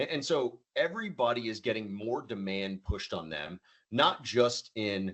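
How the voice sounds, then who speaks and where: A man speaks at a medium pitch. His intonation is lively. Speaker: supply chain software presenter. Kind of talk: webinar presentation. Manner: fast.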